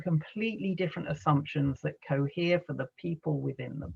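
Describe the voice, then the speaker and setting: A man with an American accent talks at a fairly quick pace with a fairly high pitch. His voice is somewhat breathy, with ordinary pitch variation. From England, London. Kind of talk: lecture. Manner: conversational, with filler words.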